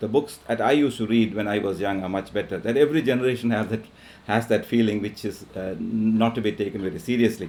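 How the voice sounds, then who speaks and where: A man with a Keralan accent, medium pitch, ordinary pitch variation and a fairly quick pace. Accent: Indian English, Malayali. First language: Malayalam. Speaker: professor. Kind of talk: lecture. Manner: halting, many fillers.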